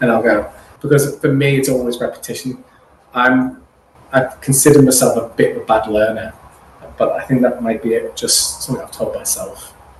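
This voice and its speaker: A man's moderately paced speech is heard with noticeable background noise behind it. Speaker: actor and singer. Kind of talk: interview answer.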